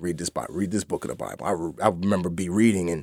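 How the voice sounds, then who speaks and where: Speaking very fast with a New York accent and ordinary pitch variation, a man sounds dry and close with no echo on a very clean recording with a silent background. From New York (the Bronx). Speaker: actor and former navy trainee sharing his faith story. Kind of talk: testimony. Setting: studio.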